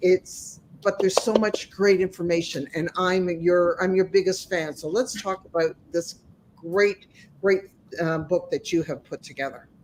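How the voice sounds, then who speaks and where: Over noticeable background noise, a woman speaks fairly slowly at a medium pitch with fairly even intonation. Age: 60s. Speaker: life coach and podcast host. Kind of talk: interview.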